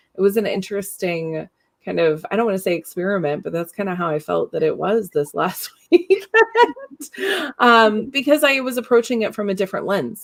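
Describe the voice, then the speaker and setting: A woman with a normal speaking voice talks at a fairly quick pace. Her medium pitch moves with lively intonation. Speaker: podcast host. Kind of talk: live interview conversation.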